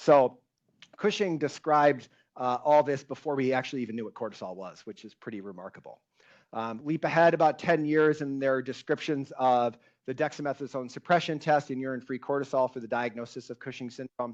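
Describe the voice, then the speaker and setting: A loud man at a fairly quick pace, medium in pitch with ordinary pitch variation, against a quiet background. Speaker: endocrinology professor giving a lecture. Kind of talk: lecture.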